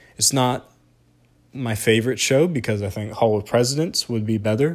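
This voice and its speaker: A man with a Southern US accent, medium pitch, ordinary pitch variation and a fairly quick pace, on a very clean recording with a silent background. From US South. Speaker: podcast host. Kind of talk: solo podcast review. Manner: animated.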